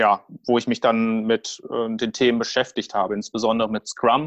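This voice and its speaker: In a quiet background, a man's medium-pitched voice comes across monotone and flat, with a dry, close sound and no echo. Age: 30s. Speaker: project manager. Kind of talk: interview. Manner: halting.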